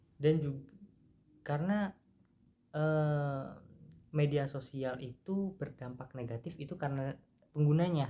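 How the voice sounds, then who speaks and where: Long, frequent pauses break up this man's speech. His voice is fairly high and somewhat breathy, with ordinary pitch variation. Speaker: university student. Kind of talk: improvised class presentation. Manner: casual, halting with fillers.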